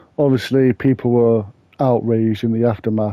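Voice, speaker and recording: A fairly slow man in an English accent, his intonation monotone and flat. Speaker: true crime YouTuber. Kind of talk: casual true crime narration.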